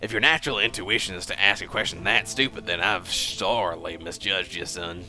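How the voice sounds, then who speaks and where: A man does a put-on character voice that is gruff and raspy at a fairly low pitch, going at a fairly quick pace with hardly any pauses over clear background noise. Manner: condescending, stern.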